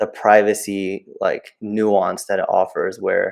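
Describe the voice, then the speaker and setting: In a very clean recording with a silent background, a man's voice is heard. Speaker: game developer. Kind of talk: interview. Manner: rambling, filler-heavy.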